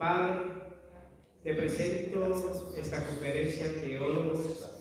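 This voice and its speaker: Man with a high pitch, audible room echo and noticeable background noise. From United States. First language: English (speaking Spanish). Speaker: theology professor. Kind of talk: public prayer.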